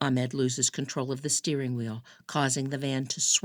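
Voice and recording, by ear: Someone reads aloud here in a natural voice.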